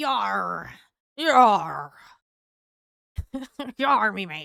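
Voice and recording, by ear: A female-sounding voice uses a put-on character voice at a medium pitch.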